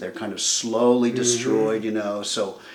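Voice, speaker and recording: Noticeable background noise is present as a man speaks. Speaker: interviewer. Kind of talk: interview conversation.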